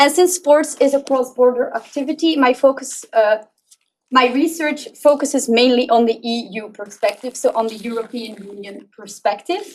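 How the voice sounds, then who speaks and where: Speaking with a Flemish accent, a woman uses a high pitch, ordinary pitch variation and a moderate pace. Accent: Belgian Dutch (Flemish) accent in English. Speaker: PhD researcher. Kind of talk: conference presentation.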